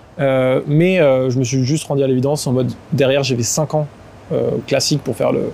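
A man of medium pitch talks at a moderate pace with fairly even intonation, very even loudness, and long, frequent pauses. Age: 20s. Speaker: entrepreneur. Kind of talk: casual chat. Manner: halting.

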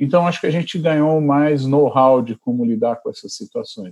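A man with a dark, mellow tone sounds somewhat breathy as he talks at a moderate pace. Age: 50s. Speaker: physician and researcher. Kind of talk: interview.

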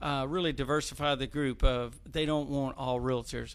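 Speaking with a Tennessee accent, a man holds a medium pitch and fairly even intonation. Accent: Southern US (Tennessee). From Clarksville, Tennessee. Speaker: civic leadership board member. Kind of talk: casual talk show interview.

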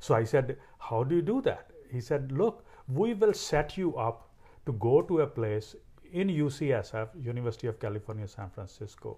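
At a moderate pace, a man speaks in a dark, mellow, somewhat breathy tone at medium pitch with very wide pitch swings. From India, Punjab. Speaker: cancer researcher. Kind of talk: interview.

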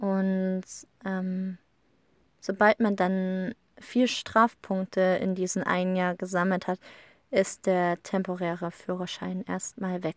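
In a dry, close sound with no echo on a very clean recording with a silent background, a woman speaks very slowly at a medium pitch, in a monotone, flat intonation broken by long, frequent pauses. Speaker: podcaster. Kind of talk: casual monologue. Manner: hesitant with many fillers.

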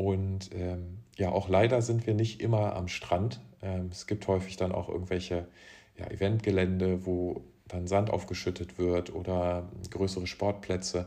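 The tone is dark and mellow, with monotone, flat intonation. Delivery comes at a fairly slow pace. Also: man, very deep, low pitch for a man. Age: 20s. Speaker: professional beach volleyball player. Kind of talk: casual interview.

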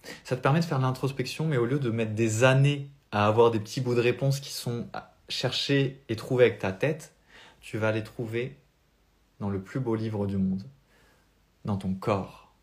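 A man speaks at a moderate pace in a somewhat breathy, medium-pitched voice with ordinary pitch variation. He leaves long, frequent pauses, and the recording is very clean with a silent background. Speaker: spiritual coach. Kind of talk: live stream talk. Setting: live video stream.

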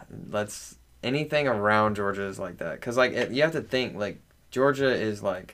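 With a slight Southern US accent, a man talks at a moderate pace with ordinary pitch variation. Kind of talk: casual chat.

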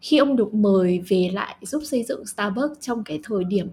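The woman's voice is medium in pitch and somewhat breathy. She speaks at a fairly slow pace with ordinary pitch variation. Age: young. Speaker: podcast co-host. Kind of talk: casual chat.

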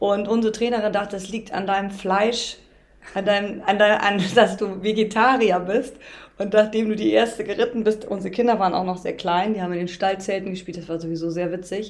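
Using a normal speaking voice, a woman speaks with medium pitch and fairly even intonation. Her pace is fairly quick. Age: 50s. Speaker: riding instructor and mother of host. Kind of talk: casual chat.

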